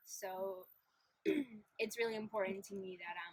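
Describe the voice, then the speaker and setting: This woman's voice sits at a medium pitch, moving at a moderate pace. Her intonation stays flat and monotone. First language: Polish. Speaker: interviewee. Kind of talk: interview.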